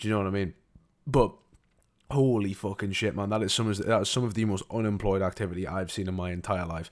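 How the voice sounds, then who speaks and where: A man's fairly low voice in an animated tone at a very fast pace, on a very clean recording with a silent background. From northeast England. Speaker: gaming YouTuber reacting to video. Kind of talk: reaction commentary. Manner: animated, repetitive stammering.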